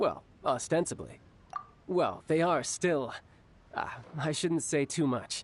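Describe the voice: A man puts on a character voice, fairly high in pitch with a slightly husky edge. He speaks slowly, with big pitch swings.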